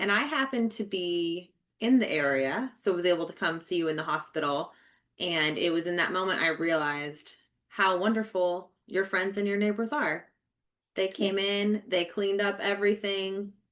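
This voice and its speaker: This woman talks in a normal speaking voice, pitched in the middle range. She keeps a moderate pace and her pitch shifts in an ordinary way. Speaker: podcast host. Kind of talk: casual interview conversation.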